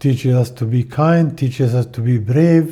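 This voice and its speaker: Here a man speaks with a dark, mellow, somewhat breathy tone at medium pitch. His pace is fairly slow, with ordinary pitch variation. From Jordan, Amman. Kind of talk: interview testimony.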